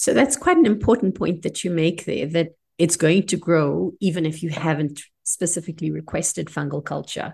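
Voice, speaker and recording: The voice is somewhat breathy and moves at a moderate pace with ordinary pitch variation over a quiet background. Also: woman, fairly low pitch for a woman. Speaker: clinical microbiologist and podcast host. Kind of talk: educational podcast chat.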